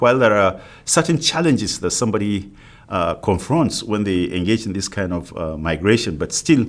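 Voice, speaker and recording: A man's fairly low voice with a non-native accent, fairly quick pace, and a very clean recording against a silent background. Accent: non-native, foreign. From Africa. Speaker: university professor. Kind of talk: lecture.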